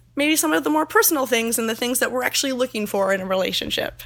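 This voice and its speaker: Against noticeable background noise, a woman with a high pitch speaks with lively intonation and hardly any pauses. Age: 20s. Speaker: naturist park seasonal worker. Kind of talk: interview.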